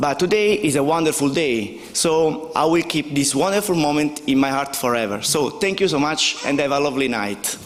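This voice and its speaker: With an Italian accent, a man talks at a fairly high pitch, with ordinary pitch variation and very even loudness. He leaves hardly any pauses, and there is noticeable background noise. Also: moderate pace. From southern Italy, Basilicata. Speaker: company co-founder receiving award. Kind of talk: award acceptance speech.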